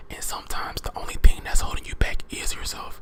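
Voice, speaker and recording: Someone whispers at a moderate pace. Noticeable background noise runs behind the voice. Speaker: ASMR creator. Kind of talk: motivational affirmations talk to camera. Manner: whispered.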